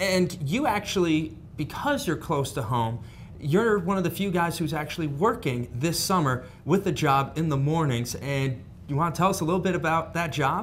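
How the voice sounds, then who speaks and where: Someone with an American accent speaks at a moderate pace with lively intonation. Audible room echo surrounds the voice. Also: man, fairly high pitch for a man. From northern US. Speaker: sports show host. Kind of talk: sports interview.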